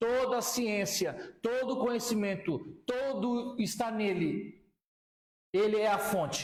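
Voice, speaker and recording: There is audible room echo as a man with a high pitch speaks at a fairly slow pace. His pitch varies in an ordinary way. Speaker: pastor and Bible teacher. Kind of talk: lecture. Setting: classroom with students.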